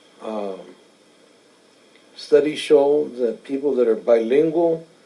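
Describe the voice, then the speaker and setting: A man with a Spanish accent speaks at a very slow pace in a medium pitch. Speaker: interviewee. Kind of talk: interview answers. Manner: hesitant, many fillers.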